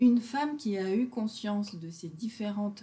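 At a fairly slow pace, a woman speaks in a dark, mellow, somewhat breathy tone at a medium pitch with ordinary pitch variation. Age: 50s. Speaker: naturopath and body-mind therapist. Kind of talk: casual interview. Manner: hesitant, many fillers.

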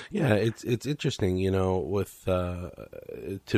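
In a very clean recording, the background is silent. The man's pitch is very deep and low. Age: 40s. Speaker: radio podcast host. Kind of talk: interview.

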